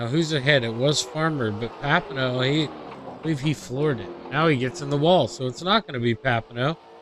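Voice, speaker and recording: Over noticeable background noise, a man with a medium-pitched voice talks at a fairly quick pace, with ordinary pitch variation and hardly any pauses. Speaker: sim racing commentator. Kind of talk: live commentary. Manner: normally loud.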